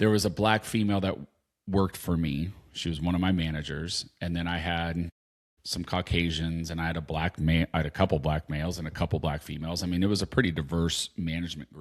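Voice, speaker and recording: Someone with a West Coast accent speaks at a very fast pace with fairly even intonation, in a very clean recording with a silent background. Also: man, very deep, low pitch for a man. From Southern California, San Diego. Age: 50s. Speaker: podcast co-host. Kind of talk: casual chat.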